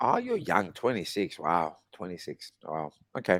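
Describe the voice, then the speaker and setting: A man with a fairly low pitch is heard in a dry, close sound with no echo on a very clean recording with a silent background. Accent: Australian. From Australia. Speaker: English conversation tutor. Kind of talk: casual chat.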